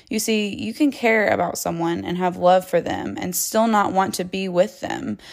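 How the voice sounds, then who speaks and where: A woman in a normal speaking voice, moderate pace, ordinary pitch variation and hardly any pauses. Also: medium pitch for a woman. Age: 20s. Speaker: relationship advice podcaster. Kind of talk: solo monologue.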